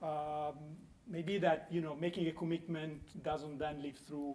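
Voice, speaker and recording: The speaker is a man with an Italian accent. His pitch is fairly high. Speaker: conference panelist. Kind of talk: panel discussion. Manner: halting.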